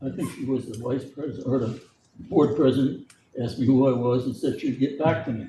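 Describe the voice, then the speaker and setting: A man's somewhat breathy voice has a dark, mellow tone, medium pitch and a moderate pace. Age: 80s+. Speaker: former school board member. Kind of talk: public comment at meeting. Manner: halting.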